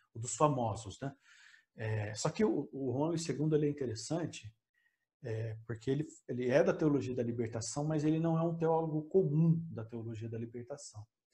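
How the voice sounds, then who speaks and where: Somewhat breathy, a man talks at a moderate pace and a fairly high pitch with ordinary pitch variation. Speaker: theologian and author. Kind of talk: interview conversation. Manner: calm, relaxed; hesitant, many fillers.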